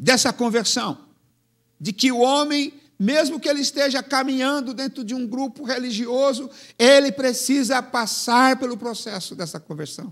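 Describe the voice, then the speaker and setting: Over a silent background on a very clean recording, a man speaks at an extremely high pitch and a fairly slow pace. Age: 70s. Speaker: pastor. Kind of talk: sermon.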